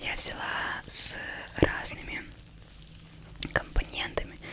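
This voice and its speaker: Whispering from a woman. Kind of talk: soft-spoken role-play talk. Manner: soft, hushed ASMR voice. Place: home room. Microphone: studio mic.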